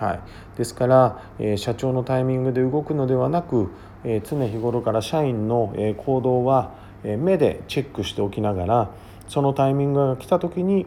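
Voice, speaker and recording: This man talks at a moderate pace with a dark, mellow tone, medium pitch and ordinary pitch variation. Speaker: business consultant. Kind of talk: monologue podcast.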